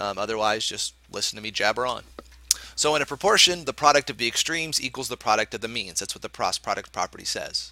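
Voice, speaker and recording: A man's very fast, medium-pitched voice with a bright, sharp tone, lively intonation and big swings in loudness, dry and close with no echo. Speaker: math teacher. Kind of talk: lecture.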